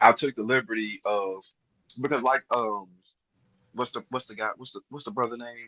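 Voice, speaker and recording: A man of medium pitch with a bright, sharp tone, fairly even intonation, a moderate pace, big swings in loudness, long, frequent pauses and a dry, close sound with no echo. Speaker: crypto community member. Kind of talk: group live stream chat. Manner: halting.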